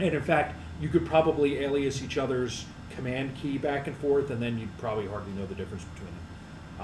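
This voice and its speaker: A man in an American accent speaks at a very fast pace with lively intonation and medium pitch. Audible room echo and noticeable background noise fill the recording. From New York area. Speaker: systems administrator presenter. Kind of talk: live tech presentation with Q&A. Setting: user group meeting with audience.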